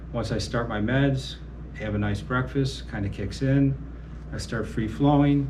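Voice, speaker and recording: A man speaking at a fairly slow pace, with audible room echo and noticeable background noise. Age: 60s. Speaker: amateur boxer with Parkinson's. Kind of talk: interview testimony. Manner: halting.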